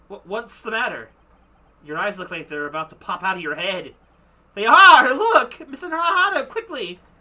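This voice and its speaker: This put-on character voice is raised and projected, fairly high in pitch, with very wide pitch swings. The pace is moderate. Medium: game stream. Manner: excitable.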